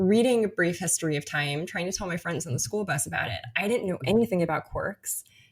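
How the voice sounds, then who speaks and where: Very fast and with hardly any pauses, a woman talks in a fairly low, somewhat breathy voice. Her tone is animated and her intonation lively. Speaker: physicist. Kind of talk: interview.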